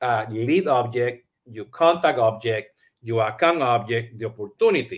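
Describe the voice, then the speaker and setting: On a very clean recording with a silent background, a man with a Puerto Rican accent speaks at a moderate pace and a medium pitch. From Puerto Rico. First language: Spanish. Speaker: CRM podcast host. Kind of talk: live-streamed interview. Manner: many fillers and repetitions.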